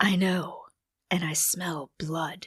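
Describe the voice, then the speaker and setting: A woman's raspy, put-on character voice at a fairly low pitch. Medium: read story. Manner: terse, commanding.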